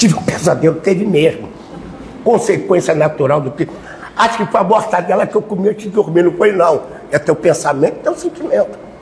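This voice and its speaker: Over noticeable background noise, a man speaks in an animated tone and a high voice at a fairly quick pace. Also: ordinary pitch variation. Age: 70s. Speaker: spiritist lecturer. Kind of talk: sermon.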